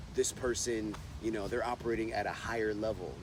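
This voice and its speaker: The delivery is fairly quick, with monotone, flat intonation and noticeable background noise. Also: man. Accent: American. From United States. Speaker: stand-up comedian. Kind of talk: interview answer. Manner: casual, conversational.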